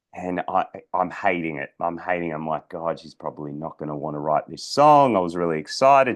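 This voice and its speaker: This man's voice sits very deep and low in pitch. He talks at a fairly quick pace, with big swings in loudness. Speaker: personal development coach and podcaster. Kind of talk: storytelling monologue. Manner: halting, many fillers and repeats.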